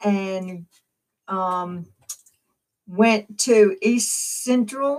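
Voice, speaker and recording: A woman with a Southern US accent. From US South, Winston County, Mississippi. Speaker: family member interviewee. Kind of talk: casual interview.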